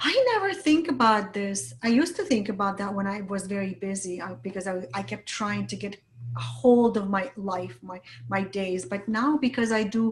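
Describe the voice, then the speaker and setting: A woman at a medium pitch and moderate pace, with very wide pitch swings and noticeable background noise. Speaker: business coach. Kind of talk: interview.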